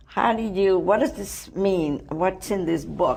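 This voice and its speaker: A woman with a non-native accent speaks very slowly in a fairly low voice. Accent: foreign. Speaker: TV talk show host. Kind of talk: TV interview.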